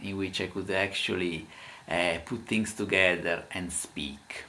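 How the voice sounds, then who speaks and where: A man talks in an Italian accent with a bright, sharp tone and fairly even intonation. His pace is fairly slow, and audible room echo surrounds him. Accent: Italian accent in English, imperfect. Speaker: language teacher. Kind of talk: casual talk to camera. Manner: halting, many filler sounds.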